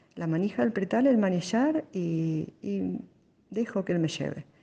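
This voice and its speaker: The tone is dark and mellow, with lively intonation and a Rioplatense accent. Delivery runs at a fairly slow pace. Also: woman. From Buenos Aires, Argentina. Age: 50s. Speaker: blind lawyer. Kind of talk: personal testimony. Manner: halting, with fillers.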